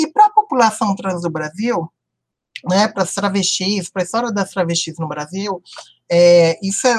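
In a dry, close recording with no echo, a woman speaks in a somewhat breathy voice. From Brazil, Brasília (Ceilândia). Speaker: psychologist and university professor. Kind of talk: interview.

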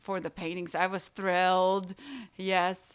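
This is a woman's voice at a medium pitch. She speaks in a Latvian accent. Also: very clean recording, silent background. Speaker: painter. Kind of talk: interview. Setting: in her home. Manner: halting.

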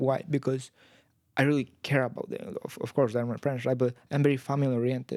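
A man with a Spanish accent talks at a fairly quick pace. His pitch is medium and his intonation fairly even. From Guatemala. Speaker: university student. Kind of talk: casual interview.

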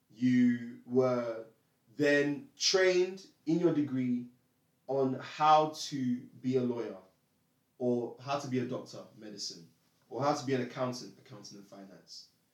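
In a room with audible echo, a man at a medium pitch speaks with big swings in loudness and long, frequent pauses. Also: ordinary pitch variation, fairly slow pace. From East London. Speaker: political discussion panelist. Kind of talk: casual political debate.

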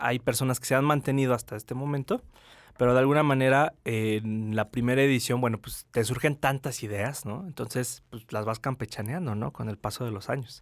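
A man with an ordinary speaking voice, medium pitch and ordinary pitch variation at a fairly quick pace, on a very clean recording with a silent background. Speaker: film festival director. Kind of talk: radio interview. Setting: radio studio.

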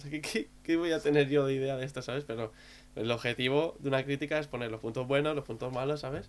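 Using a fairly high pitch, a man speaks at a very fast pace with fairly even intonation. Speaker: podcast co-host. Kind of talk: casual chat.

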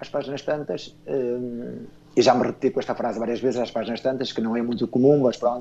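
Fairly quick and fairly even in intonation, a man speaks at a medium pitch. His tone is dark and mellow. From northern Portugal (Esposende). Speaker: children's book writer. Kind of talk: radio interview.

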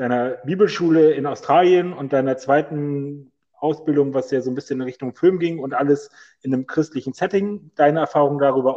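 A man talks at a moderate pace in a fairly high voice with a dark, mellow tone. His intonation stays fairly even. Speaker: podcast host. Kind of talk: casual chat. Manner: loud.

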